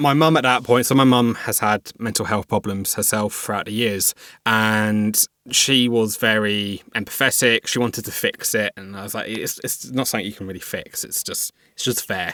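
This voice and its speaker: A man with a southern English accent speaks at a medium pitch and a moderate pace, in a bright, sharp tone with fairly even intonation. His loudness swings a lot, and the sound is dry and close, with no echo. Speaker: cyber security worker, mental health advocate. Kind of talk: interview testimony.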